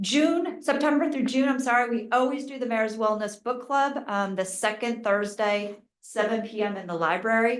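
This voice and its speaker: With ordinary pitch variation, an unremarkable speaking voice keeps to a moderate pace. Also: woman, fairly high pitch for a woman. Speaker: mayor. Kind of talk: council meeting announcements. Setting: township council meeting.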